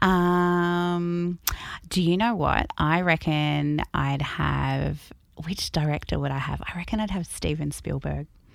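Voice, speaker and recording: In a very clean recording with a silent background, a woman with an Australian accent speaks at a very slow pace. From Albury, New South Wales, Australia. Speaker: cinema general manager. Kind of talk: interview.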